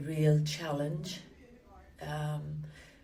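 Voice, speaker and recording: Clear background noise and some room echo accompany a woman as she talks. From Ireland (Limerick, southwest). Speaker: church member interviewee. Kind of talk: oral history interview. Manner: hesitant, many fillers.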